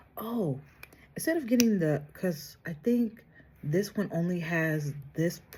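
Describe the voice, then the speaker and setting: A soft-spoken woman talks at a fairly low pitch with a dark, mellow tone. Her intonation is lively and her voice is somewhat breathy. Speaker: beauty vlogger. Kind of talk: makeup tutorial.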